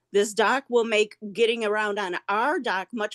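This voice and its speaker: A woman at a moderate pace, with a quiet background and a dry, close sound with no echo. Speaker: neighbor giving public comment. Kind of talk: public comment at meeting. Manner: halting.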